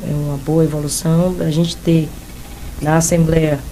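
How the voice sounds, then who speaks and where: Amid noticeable background noise and audible room echo, a woman speaks at a fairly slow pace. Her very deep, low pitch stays monotone and flat. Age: 60s. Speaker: football coach. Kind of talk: interview.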